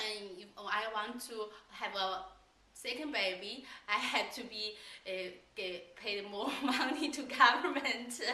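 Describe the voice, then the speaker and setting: A woman with a Chinese accent at a very slow pace, fairly high in pitch, with ordinary pitch variation, noticeable background noise and audible room echo. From China. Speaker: language school staff. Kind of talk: casual interview. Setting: on camera. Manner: halting.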